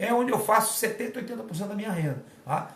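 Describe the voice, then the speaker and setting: At a very fast pace and high pitch, a man talks in an animated tone with lively intonation over noticeable background noise. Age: 50s. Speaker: fitness and martial arts coach. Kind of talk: casual live talk. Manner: animated, informal.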